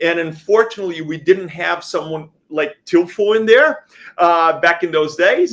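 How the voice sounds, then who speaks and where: A man's high voice with a Brazilian accent, fairly even intonation and a moderate pace. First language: Portuguese. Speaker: company founder. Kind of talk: panel interview. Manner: hesitant, many fillers.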